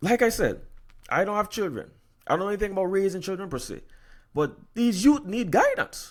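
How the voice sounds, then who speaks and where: Speaking fairly quickly with an American accent, a man with a high-pitched, animated voice leaves long, frequent pauses, showing ordinary pitch variation in a very clean recording with a silent background. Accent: Virgin Islands accent, slips out. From US Virgin Islands. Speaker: podcast host. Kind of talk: solo podcast commentary. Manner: animated, repetitive stammering.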